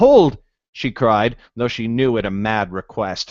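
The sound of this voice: Ordinary pitch variation in an unforced reading voice, quiet background behind it.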